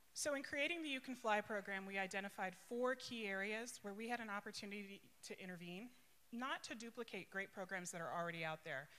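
A woman talks at a very fast pace. Her intonation is lively. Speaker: aviation program executive director. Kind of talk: conference speech. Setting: stage with audience. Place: hall. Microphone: handheld.

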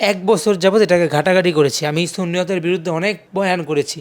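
Pitched high for a man, this male voice shows ordinary pitch variation. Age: 20s. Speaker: Islamic preacher. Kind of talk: interview. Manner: halting.

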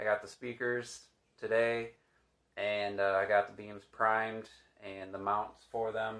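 A man speaks at a moderate pace. Nothing much can be heard behind him. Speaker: DIY home renovation vlogger. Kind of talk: casual vlog chat. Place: home room. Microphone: phone near.

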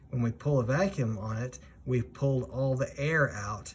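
The man's voice is somewhat breathy, with lively intonation. Light background noise sits behind him. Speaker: flight instructor. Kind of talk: tutorial.

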